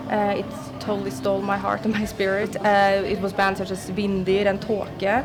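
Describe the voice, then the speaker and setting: A woman with a medium pitch talks at a moderate pace in a monotone, flat intonation, with noticeable background noise and audible room echo. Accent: Norwegian. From Norway. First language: Norwegian. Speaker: metal musician. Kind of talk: interview.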